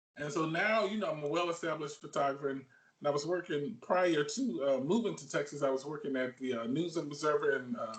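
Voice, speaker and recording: With a Southern US accent, a man talks in a fairly high voice with lively intonation. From Alabama. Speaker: sports photographer. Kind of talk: interview. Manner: halting, many fillers.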